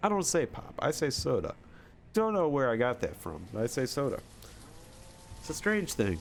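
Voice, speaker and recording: With a Michigan accent and vocal fry, a man talks at a moderate pace and a fairly high pitch. His pitch swings very widely, and he takes long, frequent pauses. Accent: mild Michigan. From Michigan, US Midwest. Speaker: gaming streamer. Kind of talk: casual live-stream chat.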